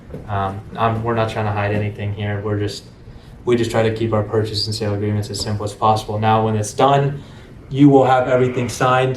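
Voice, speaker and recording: Very fast, monotone, flat speech from a man at a medium pitch, with audible room echo and noticeable background noise. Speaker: real estate investor training his acquisitions team. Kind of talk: sales training role-play. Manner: casual, filler-heavy.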